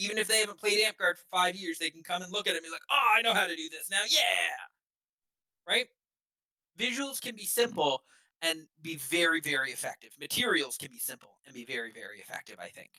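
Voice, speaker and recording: A man's raised, projected voice, high-pitched and bright and sharp in tone, with lively intonation, a fairly quick pace, big swings in loudness and a dry, close sound with no echo. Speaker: workshop instructor. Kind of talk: lecture.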